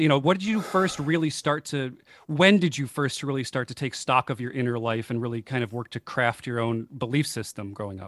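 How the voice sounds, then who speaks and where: A man with a Buffalo accent talks at a fairly quick pace. His intonation is lively. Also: dry, close sound with no echo, very clean recording, silent background. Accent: Western New York (Buffalo) American. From Buffalo, New York. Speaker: podcast host. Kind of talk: interview. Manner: enthusiastic.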